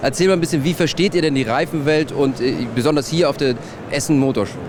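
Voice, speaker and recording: With ordinary variation in his fairly high pitch, the man talks while noticeable noise sounds in the background. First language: German. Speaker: trade show reporter. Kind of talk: guided tour presentation. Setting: trade show floor.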